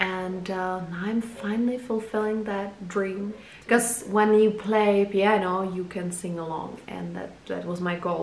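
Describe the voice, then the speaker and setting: Speaking fairly slowly in a Czech accent, a woman keeps a medium pitch and fairly even intonation, with audible room echo and noticeable background noise around her. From Czech Republic. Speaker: photographer and video blogger. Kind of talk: casual personal introduction vlog. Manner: halting, many fillers.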